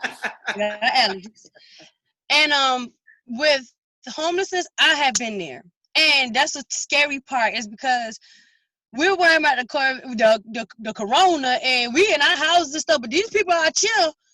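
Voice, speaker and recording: A woman speaks in a raised, projected voice at a high pitch, with a bright, sharp tone, lively intonation and a moderate pace, recorded very cleanly and dry and close with no echo against a silent background. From South Carolina. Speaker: guest. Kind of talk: casual interview chat.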